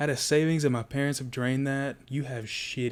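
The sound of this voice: The speaker uses an unforced reading voice, and the intonation stays fairly even.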